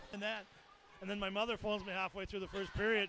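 A man with a high pitch speaks at a very fast pace in a raised, projected voice with an animated tone, the sound dry with no echo despite noticeable background noise. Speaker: hockey play-by-play commentator. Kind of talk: live hockey play-by-play commentary, calling goals and replays as they happen. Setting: broadcast from arena. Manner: animated on goals, quick rapid-fire calls. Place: stadium.

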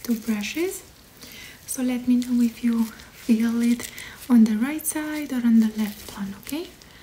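A soft-spoken woman's high voice at a fairly slow pace, with ordinary pitch variation over light background noise. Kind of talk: soft role-play exam talk. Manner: soft, calm ASMR voice. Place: home room. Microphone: phone near.

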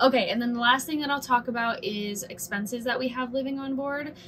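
Speech moves at a fairly quick pace over faint background noise. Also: woman, fairly high pitch for a woman, ordinary pitch variation, fairly bright tone.

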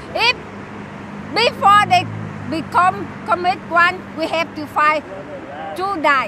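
A woman with a Vietnamese accent, raised and projected, at an extremely high pitch with lively intonation, a very slow pace and long, frequent pauses, in a dry sound with no echo over noticeable background noise. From South Vietnam. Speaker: torture survivor, protester; interviewee. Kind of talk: street interview. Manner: halting; impassioned. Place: open country. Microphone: handheld.

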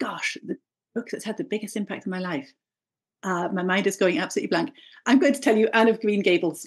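Somewhat breathy and medium in pitch, a woman talks at a very fast pace with lively intonation, broken by long, frequent pauses. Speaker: brand strategy coach. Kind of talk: casual interview chat.

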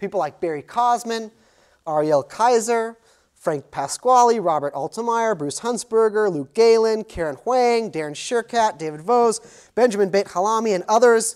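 A man with an American accent talks at a moderate pace against a quiet background. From United States. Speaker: sociology professor. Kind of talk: lecture. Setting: lecture hall with audience. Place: classroom.

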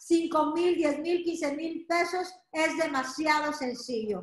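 An extremely high-pitched woman's voice, bright and sharp, with an animated tone and audible room echo. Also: quiet background. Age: 40s. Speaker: direct sales entrepreneur. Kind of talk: sales pitch. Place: home room. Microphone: video call.

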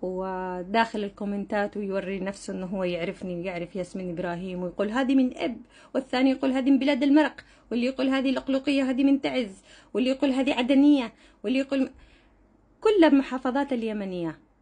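A woman with a dark, mellow tone talks at a fairly quick pace, her fairly high pitch moving in lively intonation. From Yemen, father from Hodeidah; Yemen. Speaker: social media content creator; vlogger. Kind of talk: vlog monologue addressing commenters. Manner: animated, confrontational. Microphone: phone near.

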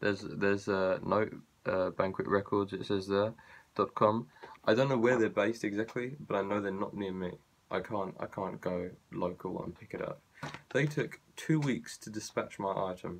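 Ordinary pitch variation at a moderate pace from a man with a fairly low voice. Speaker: vlogger. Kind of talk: casual vlog chat, complaint. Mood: annoyed, sarcastic. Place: home room. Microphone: phone near.

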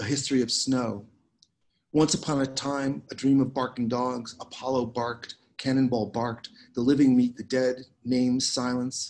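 The man's pace is moderate. He keeps his intonation flat and monotone. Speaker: poet. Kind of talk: poetry reading. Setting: video call. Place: garden. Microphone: webcam.

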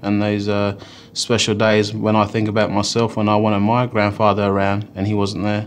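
Light background noise sits behind a man's voice. He speaks at a fairly low pitch with monotone, flat intonation. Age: 20s. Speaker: ex-smoker ambassador. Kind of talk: testimony; interview answer. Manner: halting. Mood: sombre, reflective. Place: studio.

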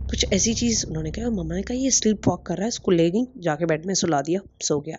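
Lively intonation marks this woman's medium-pitched voice at a moderate pace. Music plays in the background. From Pakistan, Karachi. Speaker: listener sharing a personal story. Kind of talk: personal storytelling voice note. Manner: halting, many fillers.

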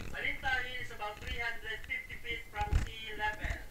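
The voice moves at a moderate pace. Music plays in the background. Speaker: tour guide. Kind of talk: guided tour commentary. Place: tunnel cave. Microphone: camera far.

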